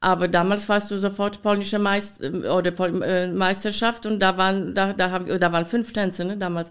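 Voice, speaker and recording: Speech in a Polish accent at a moderate pace, with hardly any pauses. The intonation stays monotone and flat. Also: woman, medium pitch for a woman. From Poland. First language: Polish (speaking German). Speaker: dance costume designer and former dancer. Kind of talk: interview. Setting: her studio.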